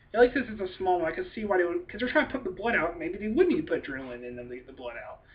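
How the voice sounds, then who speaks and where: With vocal fry at a medium pitch, a woman's voice shows very wide pitch swings. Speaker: YouTube movie reviewer. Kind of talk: casual video review. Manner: fast and hyper; animated. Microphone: poor webcam recording.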